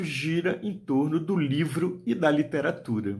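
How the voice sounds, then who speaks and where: At a fairly slow pace, a man with a high pitch makes very wide pitch swings. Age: 60s. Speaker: writer and storyteller. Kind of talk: video talk to book fair audience. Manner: hesitant, with fillers.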